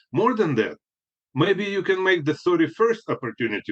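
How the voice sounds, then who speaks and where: A man speaks at a very fast pace with a high pitch. The sound is dry and close, with no echo. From Soviet Union. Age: 60s. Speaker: spiritual healer and author. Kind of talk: podcast interview. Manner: halting, with frequent fillers and repetitions.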